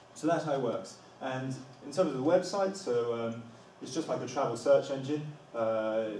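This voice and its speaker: A man at a moderate pace, ordinary pitch variation, light background noise and audible room echo. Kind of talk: presentation talk. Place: classroom. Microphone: camera far.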